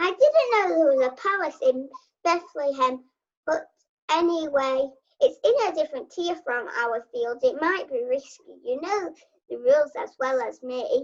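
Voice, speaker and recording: Using a put-on character voice, a woman speaks at a high pitch with very wide pitch swings and a moderate pace. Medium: stage play. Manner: dry, jokey.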